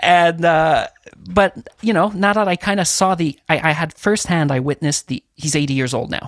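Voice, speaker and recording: In a Quebec accent, a man speaks at a moderate pace with a high pitch and ordinary pitch variation, the sound dry and close with no echo. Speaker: audio engineer. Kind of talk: casual interview.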